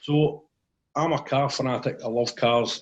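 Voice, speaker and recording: A man with a central Scottish accent and a monotone, flat intonation. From central Scotland, Clackmannanshire. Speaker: motivational safety speaker. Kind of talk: interview, personal story.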